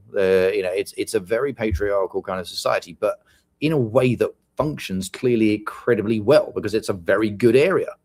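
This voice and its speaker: A man speaks with a British accent in a dry, close sound with no echo. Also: fairly quick pace. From UK. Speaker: podcast co-host. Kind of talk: casual chat.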